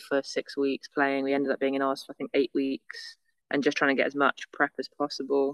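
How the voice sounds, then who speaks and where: A woman's very deep, low voice in a monotone, flat delivery, dry and close with no echo. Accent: northern English. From northern England, near Manchester. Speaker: beach volleyball athlete. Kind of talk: casual interview. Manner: fast, run-on.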